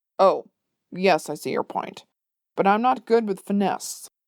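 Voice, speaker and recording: A woman's growling, put-on character voice, medium in pitch and moderate in pace. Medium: read story. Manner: grandiose and blustering.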